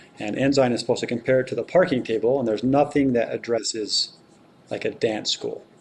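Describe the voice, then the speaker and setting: This man's intonation is fairly even. His speech comes at a very fast pace. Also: medium pitch for a man. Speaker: city council member. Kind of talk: council meeting discussion.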